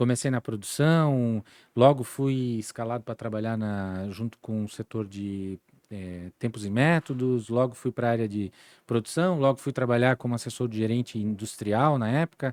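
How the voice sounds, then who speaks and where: In a plain, everyday voice, a man talks with ordinary pitch variation, his pitch medium and his pace moderate. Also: dry, close sound with no echo. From Santa Catarina, Brazil (Timbó, Vale do Itajaí). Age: 40s. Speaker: entrepreneur and former service club district governor. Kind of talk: interview conversation. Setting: podcast studio.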